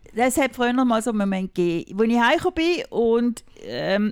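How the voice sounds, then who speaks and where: In a very clean, dry, close recording with a silent background and no echo, a woman with a plain, everyday voice talks fairly quickly at a fairly high pitch with lively intonation. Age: 50s. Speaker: mother of the hosts. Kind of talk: casual chat.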